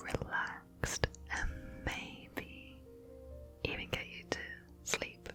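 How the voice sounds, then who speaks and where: A woman speaks in a whisper. Music plays in the background. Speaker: ASMR artist. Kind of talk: ASMR whispered personal attention. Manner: whispered.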